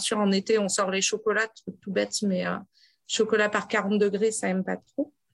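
A woman speaks at a moderate pace with medium pitch and fairly even intonation. It is a plain, everyday voice. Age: 30s. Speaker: traveling grocer, former ecology researcher. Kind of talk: interview.

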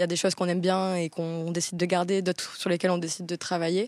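Very fast speech comes through on a very clean recording with a silent background and a dry, close sound with no echo. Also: woman. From south-west France, Bayonne. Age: 20s. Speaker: content creator. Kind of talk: casual chat.

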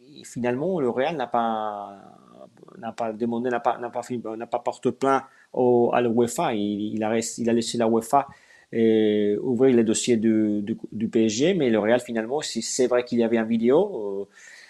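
A man with a Spanish accent speaks at a fairly slow pace in a dark, mellow tone. His intonation stays fairly even over a quiet background. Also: medium pitch for a man. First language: Spanish (speaking French). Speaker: sports journalist. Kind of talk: live stream interview. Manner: halting.

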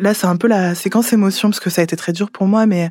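Her speech comes very fast. A woman keeps her intonation fairly even. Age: 20s. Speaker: former psychiatric clinic patient. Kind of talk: testimony.

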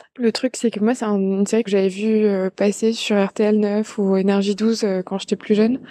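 A woman speaks at a moderate pace with a medium pitch and a dark, mellow tone. Her intonation is monotone and flat, and the background is quiet. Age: 20s. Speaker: listener testimonial. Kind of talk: testimony. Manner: halting.

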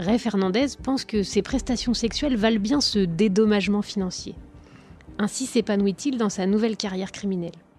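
With music in the background, a woman speaks in a dramatic tone at a medium pitch, using ordinary pitch variation and a moderate pace. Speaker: podcast narrator and host. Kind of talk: true-crime narration, scripted storytelling. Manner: grave, measured, dramatic storyteller.

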